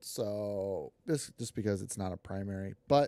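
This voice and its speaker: A man speaks quietly and fairly slowly with an American accent in a dark, mellow tone at a fairly low pitch, in a dry, close sound with no echo on a very clean recording with a silent background. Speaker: gaming streamer. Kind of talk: gameplay commentary. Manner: quiet, low energy; hesitant, many fillers.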